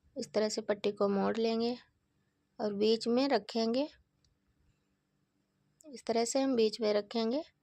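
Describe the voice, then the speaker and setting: A woman's dark, mellow tone comes with fairly even intonation and long, frequent pauses. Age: 40s. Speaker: home dressmaker for deity idols. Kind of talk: sewing tutorial narration.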